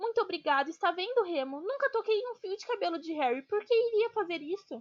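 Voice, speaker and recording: A woman's put-on character voice, shrill, squeaky and extremely high, with very wide pitch swings at a fairly quick pace. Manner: nervous, fawning.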